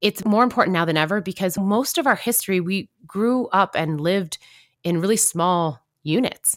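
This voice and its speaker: A woman speaks at a moderate pace with lively intonation in a plain, everyday voice. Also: very clean recording, silent background. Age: 40s. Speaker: event organizer and conference program director. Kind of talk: interview conversation.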